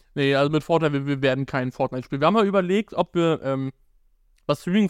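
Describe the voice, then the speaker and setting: A man with an ordinary speaking voice talks at a fairly quick pace with ordinary pitch variation. The sound is dry and close with no echo, and the background is quiet. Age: 20s. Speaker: advertising agency co-founder and podcast co-host. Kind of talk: casual chat. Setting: live stream on YouTube and TikTok.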